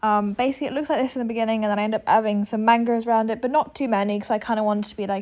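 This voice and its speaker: This woman speaks with a British accent. The background is quiet. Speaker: gaming video creator. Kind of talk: casual gameplay narration.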